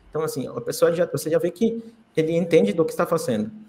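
This man talks with a Spanish accent. His pitch is fairly high. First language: Spanish (speaking Portuguese). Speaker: crypto community ambassador. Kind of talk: podcast interview.

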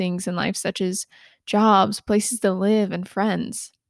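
The recording is very clean, with a silent background. A woman with an American accent talks in an ordinary speaking voice at medium pitch. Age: 20s. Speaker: podcast host. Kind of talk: solo self-help podcast monologue. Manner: occasional stumbles and self-corrections.

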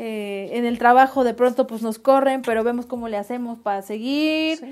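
A woman with a high-pitched voice speaks with fairly even intonation. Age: 30s. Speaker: podcast co-host. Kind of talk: casual chat.

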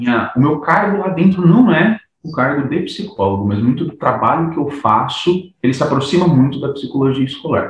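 With hardly any pauses, a man talks at a moderate pace in a plain, everyday voice, fairly high in pitch, with lively intonation. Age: 30s. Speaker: psychologist. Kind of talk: casual chat.

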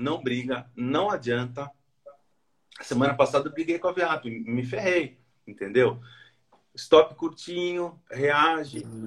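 A man speaks at a very slow pace with long, frequent pauses. His pitch is fairly high and his intonation lively. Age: 40s. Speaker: former engineer learning day trading. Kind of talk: casual interview.

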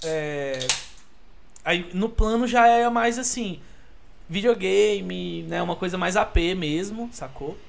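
A high-pitched man's voice, very slow with long, frequent pauses and lively intonation, amid noticeable background noise and audible room echo. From Brasília (Taguatinga and Asa Norte). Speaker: podcast guest. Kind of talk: casual chat.

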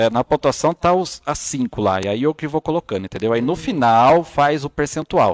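Recorded very cleanly with a silent background and a dry, close sound with no echo, a man with a fairly high pitch speaks at a moderate pace with lively intonation and hardly any pauses. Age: 30s. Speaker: body language analyst. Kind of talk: casual chat. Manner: animated.

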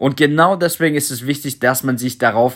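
A man speaks with ordinary pitch variation at a fairly high pitch. The recording is very clean, with a silent background. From Germany, Stuttgart. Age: 30s. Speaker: crypto podcaster. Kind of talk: solo podcast monologue.

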